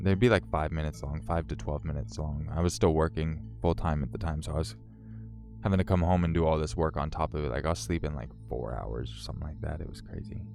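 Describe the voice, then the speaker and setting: Over music in the background, a man with an American accent and a very deep, low pitch speaks at a very fast pace with lively intonation. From Northern California. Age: 30s. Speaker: story narration YouTuber. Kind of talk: live stream chat. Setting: live stream. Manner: casual, filler-heavy.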